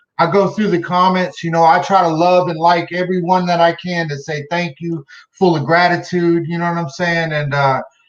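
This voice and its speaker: A man's loud, high-pitched speech at a moderate pace with hardly any pauses. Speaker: guest speaking out on racial injustice. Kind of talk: live video conversation. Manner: animated.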